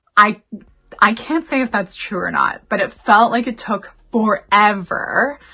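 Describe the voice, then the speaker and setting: A woman with a Canadian accent speaks at a fairly high pitch. Her tone is bright and sharp, with ordinary pitch variation. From Canada. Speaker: YouTuber. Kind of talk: casual storytime to camera. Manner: chatty.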